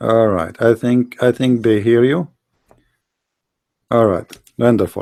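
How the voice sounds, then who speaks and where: A man with an Arabic accent speaks at medium pitch in a dark, mellow tone, very slowly and with long, frequent pauses. His loudness stays very even, and the sound is dry and close with no echo. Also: ordinary pitch variation. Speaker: debate show host. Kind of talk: heated debate. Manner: interrupting, insistent.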